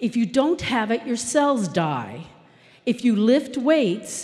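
At a fairly slow pace, a woman speaks with lively intonation in a fairly high pitch. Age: 50s. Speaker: software developer; conference speaker. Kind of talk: conference talk. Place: stage. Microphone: handheld.

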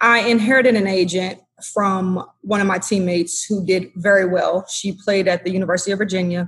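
Somewhat breathy, a woman with an American accent talks at a fairly quick pace, with medium pitch and fairly even intonation. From Washington, D.C. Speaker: former pro basketball player. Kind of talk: interview. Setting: hotel room, remote call.

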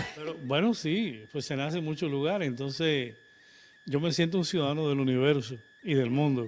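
Faint music plays behind a man with a Cuban accent who speaks at a moderate pace with a fairly high pitch and ordinary pitch variation. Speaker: doctor and nutritionist; guest. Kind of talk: live interview. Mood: calm, earnest. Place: studio. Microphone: handheld.

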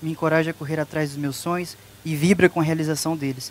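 A man talks at a very fast pace with a high pitch and fairly even intonation. The sound is dry, with no echo. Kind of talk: reading wedding vows. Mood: tender, emotional. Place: garden. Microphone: handheld.

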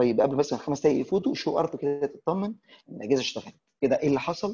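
A man's dark, mellow voice, very fast, with lively intonation. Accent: Egyptian. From Egypt. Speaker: networking instructor. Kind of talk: tutorial. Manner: casual. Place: classroom.

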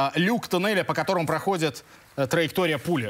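This man's delivery has ordinary pitch variation and a moderate pace. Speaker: TV show host. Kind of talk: TV talk show hosting. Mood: playful, joking. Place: studio. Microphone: lapel.

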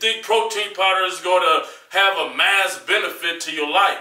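A man's raised, projected voice at a moderate pace, monotone and flat, with audible room echo and a quiet background. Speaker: fitness vlogger. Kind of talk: casual advice vlog monologue. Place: gym.

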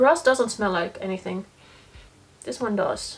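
A woman talks at a slow pace with a slightly husky edge.

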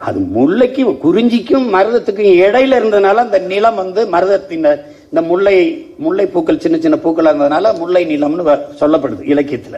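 A man speaks at a high pitch with very wide pitch swings and a passionate tone. His loudness stays very even. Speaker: politician. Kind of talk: political rally speech. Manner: fiery, passionate. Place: hall. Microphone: podium.

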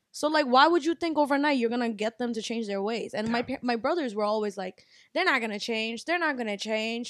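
Against a quiet background, a woman speaks high and fairly quick with hardly any pauses and ordinary pitch variation, in a dry sound with no echo. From US, Bangladeshi American family. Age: 20s. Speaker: restaurant owner; podcast guest. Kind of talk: casual chat. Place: home room. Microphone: handheld.

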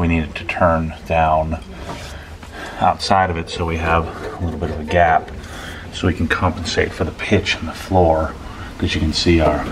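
A man with a very deep, low voice speaks in a flat monotone over noticeable background noise. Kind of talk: casual vlog chat. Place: garage. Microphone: phone near.

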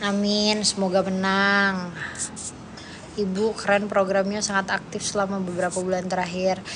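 A woman speaks with monotone, flat intonation. Noticeable background noise runs underneath. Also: moderate pace. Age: 20s. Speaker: politician. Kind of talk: livestream chat with viewers. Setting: TikTok livestream. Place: home room. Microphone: phone near.

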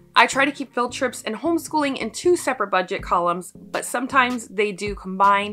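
Moderate pace over faint background music. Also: woman. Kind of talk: casual vlog chat. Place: home room.

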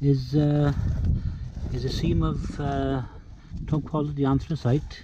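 A man's voice with fairly even intonation, a dry sound with no echo, and light background noise. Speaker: coastal forager guide. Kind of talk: tutorial. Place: beach. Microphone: phone near.

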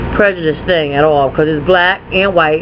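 A woman is speaking. Light background noise can be heard. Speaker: haul vlogger. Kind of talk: casual vlog chat. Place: home room. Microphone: webcam.

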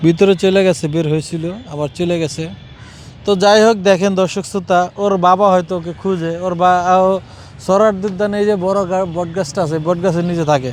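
This man speaks in a high pitch with fairly even intonation. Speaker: street interviewer / vlogger. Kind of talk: street interview. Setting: outdoors in a park.

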